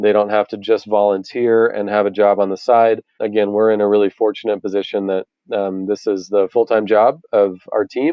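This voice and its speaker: This man talks at a moderate pace in a fairly low voice, with a monotone, flat intonation. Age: 30s. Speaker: nonprofit founder. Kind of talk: interview.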